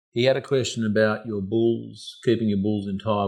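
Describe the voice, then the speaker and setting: A man with an Australian accent speaks at a fairly quick pace against a quiet background. His voice is fairly low, with fairly even intonation. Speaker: podcast host. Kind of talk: casual chat.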